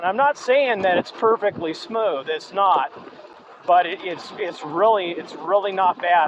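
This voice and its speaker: Over noticeable background noise, a man with a high voice speaks fairly slowly with ordinary pitch variation. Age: 60s. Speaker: e-bike reviewer. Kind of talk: product review while riding. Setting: outdoors on a trail ride. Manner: halting, many fillers.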